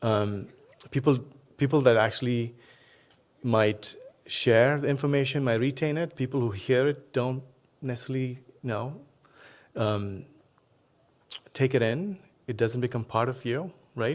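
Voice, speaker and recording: With a Telugu accent, a man talks at a fairly slow pace and medium pitch, using ordinary pitch variation and long, frequent pauses. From India, Tamil Nadu. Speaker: professor. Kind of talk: keynote speech.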